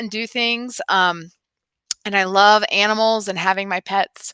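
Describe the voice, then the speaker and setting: Her bright, sharp voice sits at a medium pitch with ordinary pitch variation, moving at a fairly slow pace. The woman is recorded in a dry, close sound with no echo. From US South, North Carolina. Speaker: high school biology teacher. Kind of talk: recorded class introduction. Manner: casual, many filler ums.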